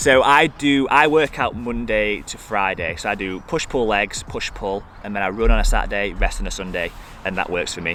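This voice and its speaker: With a Yorkshire accent, a man speaks in a fairly low, bright, sharp voice with lively intonation. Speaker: fitness YouTuber. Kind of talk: Q&A vlog. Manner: fast; casual.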